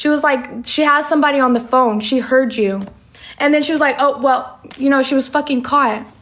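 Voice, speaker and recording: Loudness stays very even and intonation fairly even. Background noise is noticeable. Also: woman, high pitch for a woman, fairly quick pace. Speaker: social media personality. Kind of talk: storytime.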